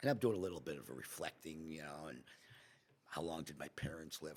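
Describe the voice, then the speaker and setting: A man speaks at a fairly quick pace with a very deep, low pitch. His voice has vocal fry and ordinary pitch variation. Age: 70s. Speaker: restaurant owner. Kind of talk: casual chat. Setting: podcast interview.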